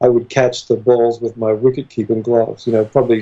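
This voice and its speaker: Monotone, flat intonation in an American accent. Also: man. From Australia, small town south of Sydney. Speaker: strength and conditioning coach. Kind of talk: interview.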